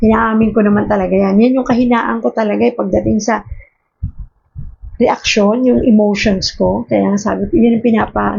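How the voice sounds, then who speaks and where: This is a woman speaking. Her pace is moderate. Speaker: devotional speaker. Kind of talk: daily devotion talk. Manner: harsh-sounding tone; conversational.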